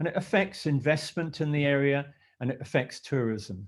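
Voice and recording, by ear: Lively intonation carries this moderately paced speech in a slight Scottish accent. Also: man, fairly high pitch for a man. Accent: Scottish, mild.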